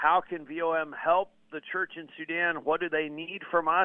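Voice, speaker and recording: A man speaks at a moderate pace in a normal speaking voice. His pitch is fairly high. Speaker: ministry media spokesman and radio host. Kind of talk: radio interview.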